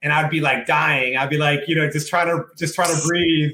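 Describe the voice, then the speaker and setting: Fairly high-pitched speech from a man with a Spanish accent. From Puerto Rico, moved to US at about seven. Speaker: fitness business owner. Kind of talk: podcast interview. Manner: casual, many fillers.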